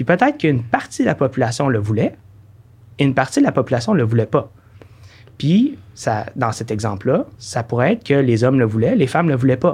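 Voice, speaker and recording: A man's somewhat breathy voice, medium in pitch, at a fairly quick pace with ordinary pitch variation. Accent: Quebec. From Quebec City, Quebec. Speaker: director of an engineering charity. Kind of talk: podcast interview.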